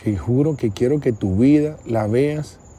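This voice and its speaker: Somewhat breathy and dark, mellow in tone, a man speaks at a very slow pace with ordinary pitch variation. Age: 40s. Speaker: podcast host, mentor. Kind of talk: solo reflective monologue. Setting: outdoors at night outside his house. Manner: halting, repetitive.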